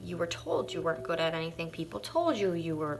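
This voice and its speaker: Loud, animated speech at a fairly quick pace, with audible room echo. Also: woman. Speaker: fitness and self-help vlogger. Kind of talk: motivational live stream talk.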